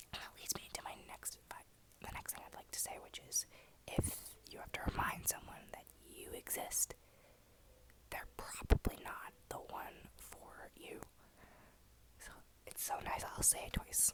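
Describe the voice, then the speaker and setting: Whispering at a fairly slow pace, a woman makes big swings in loudness and long, frequent pauses against noticeable background noise. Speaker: ASMR content creator. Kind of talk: ASMR whisper ramble to camera. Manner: whispered, soft, casual.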